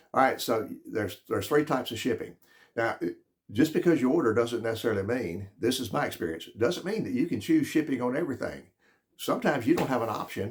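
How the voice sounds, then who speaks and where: An animated, somewhat breathy man at medium pitch, very fast pace and lively intonation. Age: 70s. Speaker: product reviewer. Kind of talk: casual video review.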